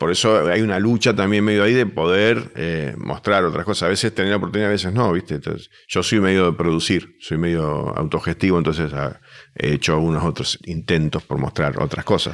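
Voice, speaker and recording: On a very clean recording with a silent background, a man with a very deep, low pitch and vocal fry speaks at a fairly quick pace. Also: ordinary pitch variation. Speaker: comedian. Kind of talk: casual chat.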